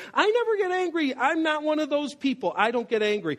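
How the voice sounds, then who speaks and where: Squeaky and high-pitched, a put-on character voice rattles along at a fairly quick pace. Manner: defensive.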